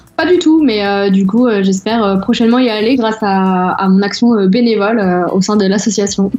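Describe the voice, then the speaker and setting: This woman talks at a moderate pace and a medium pitch, with ordinary pitch variation, very even loudness and hardly any pauses. Noticeable background noise runs under her voice. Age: 20s. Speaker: association volunteer. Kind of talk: interview. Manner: halting.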